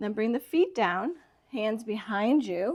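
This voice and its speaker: A woman speaks in a calm tone at a very slow pace. Her pitch is fairly high. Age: 60s. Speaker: yoga instructor. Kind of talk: tutorial. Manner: calm, instructive.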